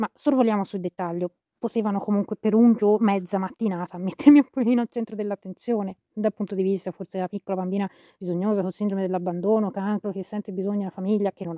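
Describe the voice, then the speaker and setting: Very fast and dark, mellow in tone, a woman speaks at medium pitch with fairly even intonation and big swings in loudness. The sound is dry and close with no echo, against a quiet background. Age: 30s. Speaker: podcaster on astrology and health; shop owner. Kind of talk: personal monologue. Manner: halting, many fillers.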